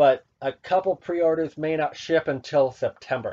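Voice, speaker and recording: A man's fairly high voice with a dark, mellow tone, at a fairly slow pace with fairly even intonation, in a dry, close sound with no echo. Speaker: gaming news youtuber. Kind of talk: solo news commentary. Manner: casual, rambling.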